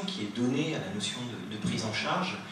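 There is audible room echo and noticeable background noise. A man is speaking. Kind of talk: lecture introduction. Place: classroom.

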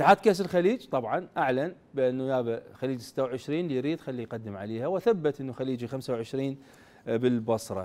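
A man speaks at a moderate pace with lively intonation and hardly any pauses. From Iraq. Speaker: sports TV host. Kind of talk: sports talk show. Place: studio. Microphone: lapel.

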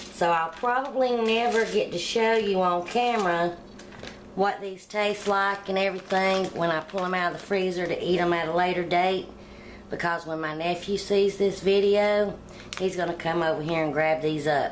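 A woman speaks with ordinary pitch variation at a moderate pace, light background noise behind her. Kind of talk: cooking tutorial. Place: kitchen. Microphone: phone near.

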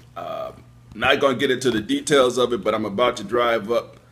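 Music plays in the background. The speech moves at a moderate pace. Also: man. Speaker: call-in show host. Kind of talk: radio show host chat. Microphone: earbuds.

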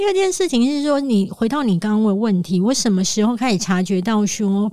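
Her intonation lively, a woman talks in a normal speaking voice. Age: 40s. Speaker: author. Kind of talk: interview.

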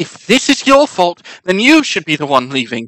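In a put-on character voice, the speaker growls in a raised, projected voice at a moderate pace, with very wide pitch swings. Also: man. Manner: snarling, hostile.

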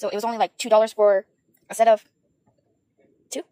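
Very fast and shaky, a woman's dark, mellow voice comes through with a dry sound and no echo. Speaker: beauty vlogger. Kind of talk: casual makeup talk to camera. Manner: hesitant, stuttering, many fillers; awkward, shaky. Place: home room. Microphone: phone near.

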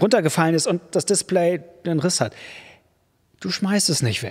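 A man's high voice with a warm tone at a fairly slow pace against a quiet background. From Germany. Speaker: preacher. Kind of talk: sermon. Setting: church. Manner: warm, direct, conversational address; emphatic, repetitive for effect. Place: church. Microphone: studio mic.

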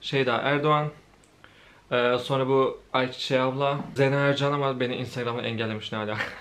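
A man's flat, monotone voice at a moderate pace. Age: 20s. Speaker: YouTuber. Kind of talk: casual Q&A monologue while eating. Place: home room.

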